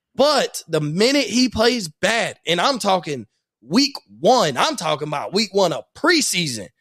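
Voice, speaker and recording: With a dry, close sound and no echo, a man talks at a fairly slow pace in a high pitch, his tone animated and his pitch swinging very widely. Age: 20s. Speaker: sports podcast host. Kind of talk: casual chat.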